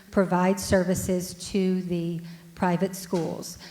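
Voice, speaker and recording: Over noticeable background noise, a woman talks at a very slow pace in a medium pitch. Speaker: audience member, parent. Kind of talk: audience question. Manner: loud.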